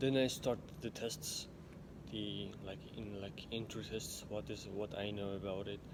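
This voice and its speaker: In an Uzbek accent, the speaker goes at a fairly slow pace with fairly even intonation, and room echo can be heard. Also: man, fairly low pitch for a man. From Uzbekistan, village. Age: 20s. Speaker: vlogger. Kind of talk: personal storytelling monologue. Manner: halting, frequent restarts.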